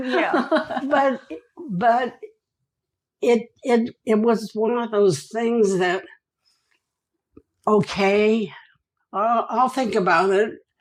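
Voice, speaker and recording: A very slow pace broken by long, frequent pauses. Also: woman. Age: 80s+. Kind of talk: interview answer. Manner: lively, vigorous.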